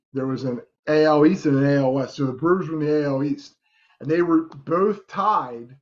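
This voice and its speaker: This man has a plain, everyday voice, fairly high in pitch, moving at a moderate pace with ordinary pitch variation. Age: 40s. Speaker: sports podcast co-host. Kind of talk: casual chat.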